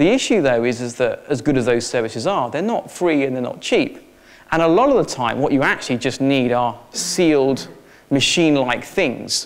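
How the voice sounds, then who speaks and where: A fairly high male voice with ordinary pitch variation and audible room echo. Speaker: technology consultant. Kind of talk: conference presentation. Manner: fast; hesitant, with filler words.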